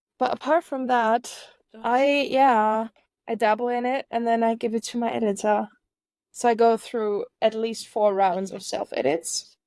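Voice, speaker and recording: In a very clean recording with a silent background and a dry, close sound with no echo, a woman speaks fairly slowly at a fairly high pitch with ordinary pitch variation. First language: not English. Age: 30s. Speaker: author. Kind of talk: podcast interview. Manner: halting.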